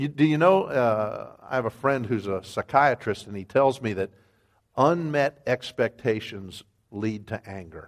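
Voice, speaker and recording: A man with an American accent and an unremarkable speaking voice, medium in pitch and fairly slow, with lively intonation and big swings in loudness, in a very clean, silent recording with dry, close sound and no echo. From Wyoming, US. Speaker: ministry developer and guest preacher. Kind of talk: sermon.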